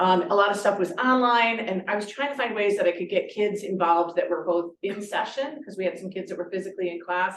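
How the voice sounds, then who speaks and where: At a fairly quick pace, a woman speaks in a medium pitch with ordinary pitch variation. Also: hardly any pauses. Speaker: high school teacher. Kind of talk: presentation at a meeting. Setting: conference room, also streamed on Zoom. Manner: loud, projecting.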